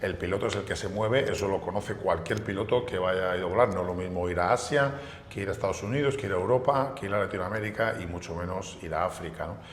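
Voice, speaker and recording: A man talks at a very fast pace with a fairly low pitch. Room echo is audible, and background noise is noticeable. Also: ordinary pitch variation. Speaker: airline pilot. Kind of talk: interview.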